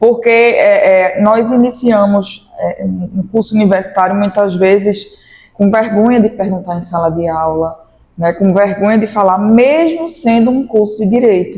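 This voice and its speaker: A woman with a plain, everyday voice speaks fairly slowly, her medium pitch showing ordinary variation. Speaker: law professor. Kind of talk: interview.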